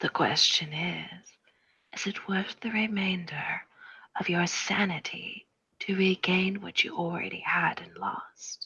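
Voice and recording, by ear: In a put-on character voice, a woman speaks slowly with a bright, sharp tone, a husky, rough edge and ordinary pitch variation. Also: fairly low pitch for a woman.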